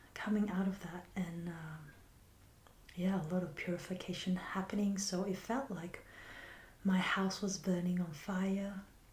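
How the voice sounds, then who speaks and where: A woman speaks in a gentle tone at a medium pitch and a fairly slow pace, her flat, monotone delivery broken by long, frequent pauses, with audible echo in the room. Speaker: healer and spiritual teacher. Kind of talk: reflective monologue. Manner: soft, slow and gentle.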